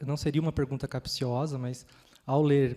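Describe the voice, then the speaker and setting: A man speaks in a fairly high voice with a dark, mellow tone. His delivery is monotone and flat at a moderate pace. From interior of São Paulo state, Brazil. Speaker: panel moderator. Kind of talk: panel discussion. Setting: stage with audience in a library. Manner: hesitant, many fillers.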